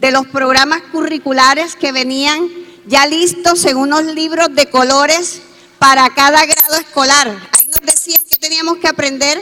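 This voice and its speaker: A woman with a high pitch uses a raised, projected voice at a fairly slow pace. Her intonation is fairly even, and there is noticeable background noise. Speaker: education speaker at forum. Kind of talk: conference talk.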